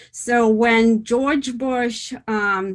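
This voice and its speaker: Speaking with a Russian accent, a woman uses ordinary pitch variation. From Soviet Union (Russia). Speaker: author, former intelligence officer. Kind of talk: interview.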